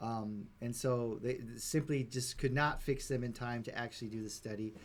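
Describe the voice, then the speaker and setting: The man speaks at a fairly slow pace. His pitch varies in an ordinary way. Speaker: Bible study teacher. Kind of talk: live-streamed Bible study. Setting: Facebook live stream. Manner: gets louder and more animated as it goes; halting, many filler words.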